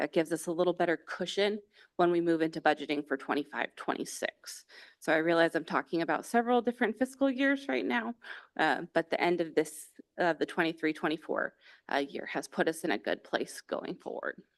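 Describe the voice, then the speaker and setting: Speaking at a fairly quick pace, a woman uses a fairly low pitch and lively intonation. The sound is dry and close, with no echo. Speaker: school district finance officer. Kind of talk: budget report at board meeting. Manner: fast.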